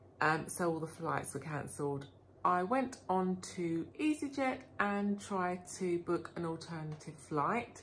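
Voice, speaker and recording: At a fairly slow pace, a woman with a fairly low, somewhat breathy voice speaks with lively intonation. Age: 50s. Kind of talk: casual vlog talk to camera.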